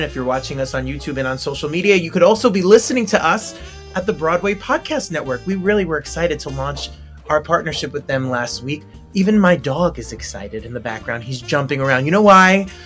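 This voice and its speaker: Over music in the background, a man with an American accent speaks very fast at a fairly high pitch, with lively intonation and big swings in loudness. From New Jersey. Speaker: talk show host. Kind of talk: show opening to camera. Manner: upbeat.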